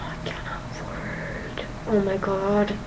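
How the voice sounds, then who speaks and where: This woman's medium-pitched voice comes through audible room echo and noticeable background noise. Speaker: gaming vlogger. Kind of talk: casual video monologue. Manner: animated.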